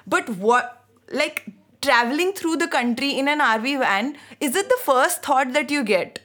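A woman's high, bright, sharp voice with an Indian accent, lively intonation and a fairly slow pace. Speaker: podcast host. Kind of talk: casual chat, film discussion.

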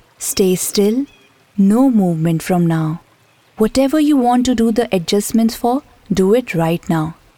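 A woman's soothing, calm tone at a fairly high pitch, fairly slow and very even in loudness, with lively intonation over noticeable background noise. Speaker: meditation teacher. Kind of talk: guided meditation, slow body-scan relaxation script over background music. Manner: slow, soothing and gently instructive; repetitive, calm cueing of each step.

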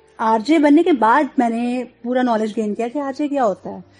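A woman with a Punjabi accent talks in a high voice with ordinary pitch variation. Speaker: radio jockey. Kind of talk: interview.

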